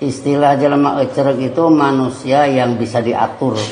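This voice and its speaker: A man at medium pitch, with noticeable background noise and audible room echo. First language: Sundanese (speaking Indonesian). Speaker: preacher. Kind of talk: sermon. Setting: mosque.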